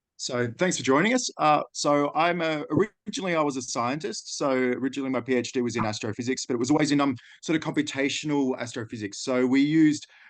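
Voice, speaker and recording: Against a quiet background, a man with an Australian accent speaks at a very fast pace and fairly high pitch, with ordinary pitch variation. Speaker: data and AI consultant. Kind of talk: webinar presentation.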